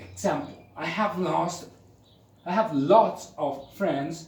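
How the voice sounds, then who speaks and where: Heard with audible room echo, a man with a Spanish accent speaks very slowly, his pitch swinging very widely. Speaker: English teacher. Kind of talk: lecture. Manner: conversational.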